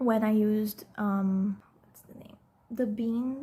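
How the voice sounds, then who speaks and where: Somewhat breathy, a woman speaks at a very slow pace with a fairly high pitch. Her intonation stays fairly even. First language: non-English. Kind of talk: casual talk to camera. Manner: hesitant, rambling.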